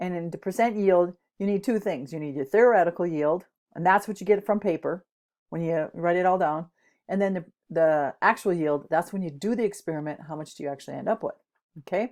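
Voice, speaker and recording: Over a quiet background, a woman with a fairly low pitch and ordinary pitch variation talks at a fairly quick pace. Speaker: chemistry teacher. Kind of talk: lecture. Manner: fast.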